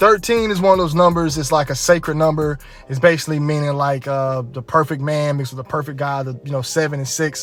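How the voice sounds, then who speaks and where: A man with a fairly high pitch speaks at a very fast pace with ordinary pitch variation and hardly any pauses. Music plays in the background. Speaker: YouTube commentator. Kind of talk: casual video commentary.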